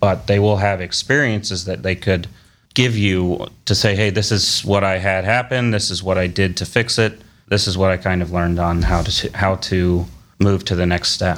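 A man with an American accent speaks at a moderate pace in a very deep, low voice. His intonation is fairly even, and the recording is very clean with a silent background. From Cleveland, Ohio. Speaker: food business co-owner. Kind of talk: casual interview chat.

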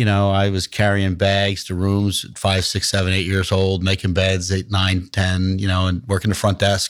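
On a very clean recording with a silent background, a man speaks at a fairly slow pace in a New Jersey accent. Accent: New Jersey American. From US Mid-Atlantic, New Jersey. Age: 60s. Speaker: hospitality company founder. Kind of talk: podcast interview answers.

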